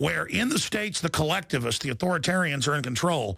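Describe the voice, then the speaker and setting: Bright and sharp in tone, a man with a fairly high pitch uses vocal fry and very wide pitch swings. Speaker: radio talk show host. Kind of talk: talk radio interview.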